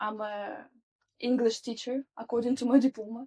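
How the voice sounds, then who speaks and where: The intonation stays monotone and flat, in a Russian accent. The sound is dry and close, with no echo. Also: woman. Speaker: social adaptation specialist. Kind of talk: interview.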